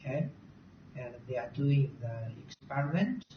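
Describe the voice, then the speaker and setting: With a non-native accent, the speaker goes at a fairly slow speed. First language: not English. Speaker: university recruitment presenter. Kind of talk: presentation. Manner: halting.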